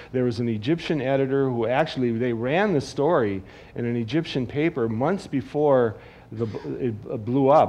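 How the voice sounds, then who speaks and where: Someone with an American accent speaks at a moderate pace, the pitch varying in an ordinary way. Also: man. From Wisconsin. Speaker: cartoonist; guest. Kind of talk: on-stage talk. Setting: stage with audience. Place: stage.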